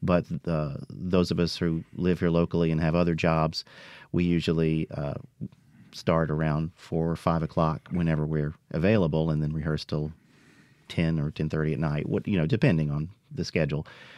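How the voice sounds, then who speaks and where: A man's very deep, low voice at a moderate pace, in a monotone, flat delivery. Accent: Mississippi. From US South, Philadelphia, Mississippi. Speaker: actor and elementary school teacher. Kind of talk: radio interview.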